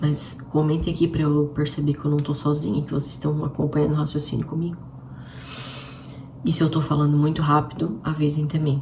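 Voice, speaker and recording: A woman's very deep, low-pitched voice at a fairly quick pace, with monotone, flat intonation and noticeable background noise. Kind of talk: livestream devotional talk. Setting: live stream.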